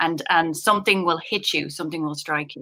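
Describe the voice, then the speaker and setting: A woman with an Irish accent speaks in a fairly low pitch with a bright, sharp tone and fairly even intonation, in a very clean recording with a silent background. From Ireland. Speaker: poet. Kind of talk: panel discussion.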